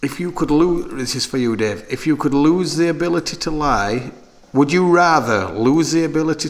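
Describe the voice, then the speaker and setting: Over noticeable background noise, a man with a Sheffield accent talks at a moderate pace. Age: 30s. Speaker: podcast host and clothing shop owner. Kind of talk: casual chat.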